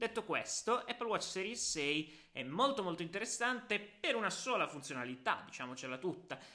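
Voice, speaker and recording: Barely pausing, a man speaks in a high pitch with a bright, sharp tone and very wide pitch swings. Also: moderate pace. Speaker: tech podcaster and writer. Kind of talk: casual solo podcast. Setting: sitting at a desk. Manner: relaxed, natural.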